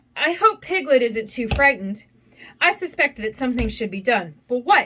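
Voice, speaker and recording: Someone speaks in a put-on character voice. The pace is moderate. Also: woman, high pitch for a woman. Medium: read story. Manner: slow, gentle.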